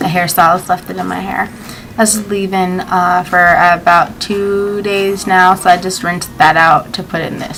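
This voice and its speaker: A woman speaks over noticeable background noise. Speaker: beauty vlogger. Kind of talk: casual vlog talk.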